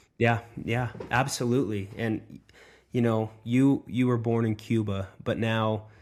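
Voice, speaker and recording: A man with an American accent talks at a medium pitch on a very clean recording against a silent background. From United States. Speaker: podcast host. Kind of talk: interview. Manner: halting, many fillers.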